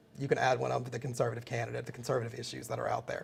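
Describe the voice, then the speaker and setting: A man speaks at a very fast pace with an American accent. Vocal fry runs through his voice. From US South, Mississippi. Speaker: political trainer. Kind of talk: webinar lecture. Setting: live webinar broadcast.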